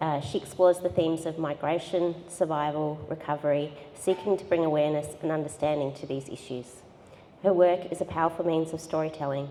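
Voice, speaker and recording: A woman with an Australian accent, very deep and low in pitch, at a fairly quick pace with fairly even intonation. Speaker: gallery director and discussion facilitator. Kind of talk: moderated panel discussion at a public event. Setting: gallery with live audience.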